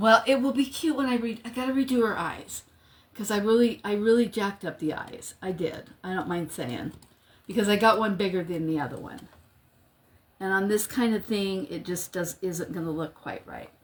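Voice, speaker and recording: Somewhat breathy, a woman speaks at a moderate pace with a medium pitch and lively intonation. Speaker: crafting livestream host. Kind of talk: live craft tutorial. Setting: livestream. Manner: casual, chatty.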